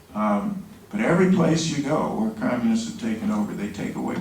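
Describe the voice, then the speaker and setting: A man with an American accent speaks at a moderate pace with very wide pitch swings. Noticeable background noise and audible room echo surround him. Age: 60s. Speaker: genocide prevention advocate. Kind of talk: press conference statement. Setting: news conference.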